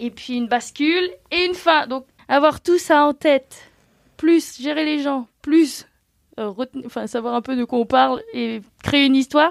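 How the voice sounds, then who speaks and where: A woman's high voice at a fairly slow pace, with ordinary pitch variation and a dry, close sound with no echo. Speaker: graphic designer and illustrator. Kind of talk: casual chat. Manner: loud.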